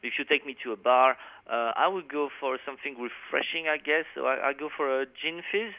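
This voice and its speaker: Speaking fairly quickly, a man with a French accent and a fairly high pitch shows ordinary pitch variation. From France. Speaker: metal guitarist. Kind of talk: interview.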